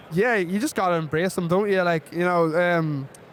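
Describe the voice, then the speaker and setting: Speaking at a fairly quick pace in an Irish accent, a man uses a high pitch and fairly even intonation. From Ireland. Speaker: football kicker. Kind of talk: casual chat.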